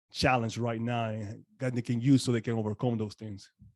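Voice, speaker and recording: A man with a Spanish accent, dark and mellow in tone, medium in pitch, at a moderate pace over a quiet background. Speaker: podcast host. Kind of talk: interview. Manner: halting.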